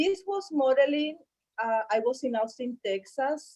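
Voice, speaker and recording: Speaking with a Spanish accent, a woman keeps a fairly slow pace. Her intonation is lively. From Colombia. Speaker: model and fashion designer. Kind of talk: interview. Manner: halting.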